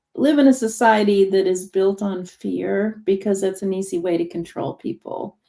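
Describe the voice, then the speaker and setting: A woman's voice with music in the background. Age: 60s. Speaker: hypnotherapist. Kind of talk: casual chat. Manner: animated.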